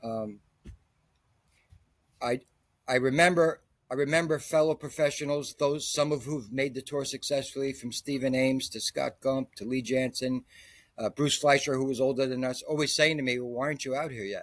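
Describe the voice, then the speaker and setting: A man with an unremarkable speaking voice talks at a moderate pace, his medium pitch held to fairly even intonation. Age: 60s. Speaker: golf instructor. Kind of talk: interview.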